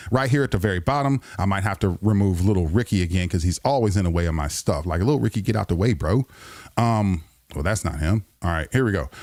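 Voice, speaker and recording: The man talks at a very fast pace in an animated tone with lively intonation. His pitch sits fairly low. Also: very clean recording, silent background. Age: middle-aged. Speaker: radio host. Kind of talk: live-stream monologue.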